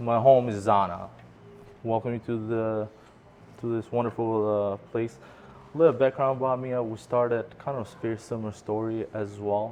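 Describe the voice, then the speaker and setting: Talking at a moderate pace, a man with a non-native accent keeps a medium pitch and monotone, flat intonation. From immigrant to US at 14, Michigan. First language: not English. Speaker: restaurant owner. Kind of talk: interview. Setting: restaurant.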